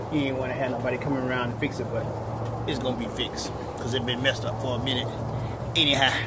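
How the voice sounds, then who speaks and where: A man talks at a very fast pace. Loud background noise is present. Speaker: home vlogger. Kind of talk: casual vlog chat. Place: garden. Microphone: phone near.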